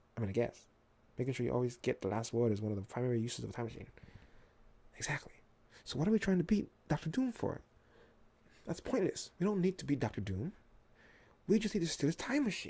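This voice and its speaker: Very fast yet full of long, frequent pauses, a man speaks with a somewhat breathy, dark, mellow tone, fairly high pitch and very wide pitch swings. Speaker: ASMR reader. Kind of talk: ASMR bedtime story reading of a comic. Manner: whispered, soft-spoken.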